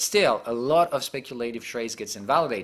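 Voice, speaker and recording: A man speaks fairly quickly, his medium pitch showing ordinary variation. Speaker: market analyst. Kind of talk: market briefing. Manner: fast.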